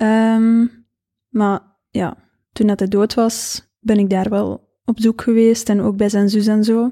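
The voice moves at a very slow pace in a monotone, flat intonation, with very even loudness, a dark, mellow tone and a dry, close sound with no echo. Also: woman, fairly high pitch for a woman, very clean recording, silent background. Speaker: author and business owner. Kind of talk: casual chat.

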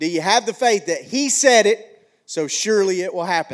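A man's high voice with a slight Alabama accent, lively intonation and a fairly slow pace. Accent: slight Alabama Southern. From McCalla, Alabama (US South). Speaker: pastor. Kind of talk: sermon. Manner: animated.

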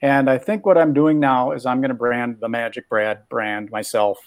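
A plain, everyday voice comes from a man with an American accent, pitched in the medium range. He keeps a moderate pace with ordinary pitch variation. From Minnesota. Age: 60s. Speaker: magician and podcaster. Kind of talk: coaching session.

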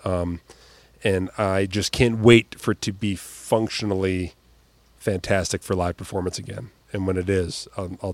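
A man speaks at a moderate pace in a very deep, low voice with flat, monotone intonation, recorded very cleanly against a silent background with a dry, close sound and no echo. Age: 40s. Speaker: comedian and magician. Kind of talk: casual chat.

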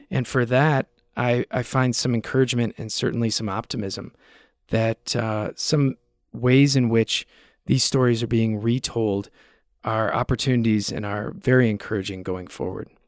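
On a very clean recording with a silent background and a dry, close sound with no echo, a man with an unremarkable speaking voice and an American accent talks at a moderate pace, medium in pitch with fairly even intonation. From US. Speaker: media researcher. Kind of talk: interview.

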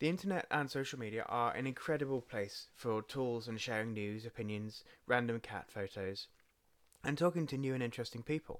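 A man talks at a fairly quick pace in an English accent, with a medium pitch. The recording is very clean, with a silent background. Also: ordinary pitch variation. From England. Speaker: podcast host, father and social media manager. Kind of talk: solo podcast monologue. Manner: casual with frequent fillers.

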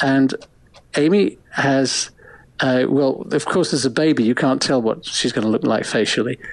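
A man with an English accent, at a moderate pace and very even loudness. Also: medium pitch for a man, ordinary pitch variation. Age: 70s. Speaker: photographer and author. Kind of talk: interview.

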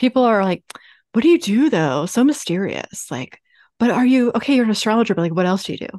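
A woman with a Baltimore accent speaks with very wide pitch swings. The sound is dry and close with no echo, over a quiet background. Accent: Baltimore American. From US, Baltimore, Maryland. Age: 30s. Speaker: business astrologer. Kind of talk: interview. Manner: talkative.

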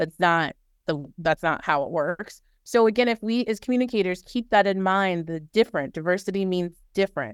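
A woman speaks in an unremarkable speaking voice at a fairly quick pace, medium in pitch with ordinary pitch variation. The recording is very clean with a silent background and a dry, close sound with no echo. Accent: American. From New Orleans, US South. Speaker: corporate communications manager. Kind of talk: interview.

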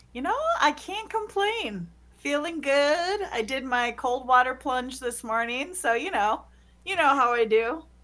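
Speaking fairly slowly with an American accent, a woman uses a high pitch and very wide pitch swings. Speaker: school board member. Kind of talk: interview. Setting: video call. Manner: animated.

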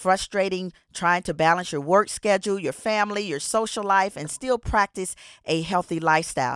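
The delivery is energetic, with ordinary pitch variation at a moderate pace. The recording is very clean over a silent background, with a dry, close sound and no echo. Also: woman. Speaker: podcast host and exercise physiologist. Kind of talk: podcast interview.

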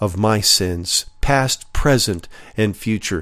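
The recording is very clean with a silent background, carrying a man's ordinary speaking voice at a fairly low pitch with ordinary pitch variation. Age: 50s. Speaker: podcast Bible teacher. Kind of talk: Bible teaching.

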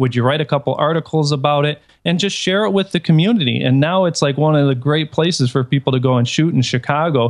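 Talking at a very fast pace with hardly any pauses, a man with an American accent and fairly high pitch keeps very even loudness and ordinary pitch variation. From Detroit, US Midwest. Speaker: photographer. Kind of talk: casual chat.

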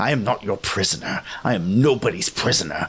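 A man puts on a growling character voice with a fairly low pitch. He delivers it at a fairly quick pace with lively intonation. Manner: defiant, snarling, desperate.

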